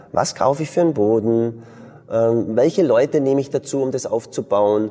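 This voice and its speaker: Moderate-paced speech from a man, backed by music. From Bavarian Swabia, southern Germany. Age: 40s. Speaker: martial arts school founder and entrepreneur. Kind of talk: interview conversation.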